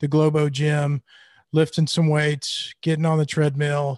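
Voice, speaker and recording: Recorded with a dry, close sound and no echo, a man with a Mississippi accent speaks at a fairly high pitch. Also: quiet background. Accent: Southern US, Mississippi. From Mississippi, US South. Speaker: guest in recovery, business owner. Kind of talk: casual interview about recovery story.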